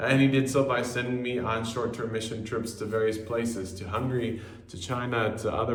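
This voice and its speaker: Audible room echo and noticeable background noise accompany a speaker with a slight non-native accent who talks at a moderate pace with monotone, flat intonation. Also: man. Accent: slight non-native tinge to American English. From US Southwest, Albuquerque, New Mexico. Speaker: missionary. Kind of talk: personal video greeting.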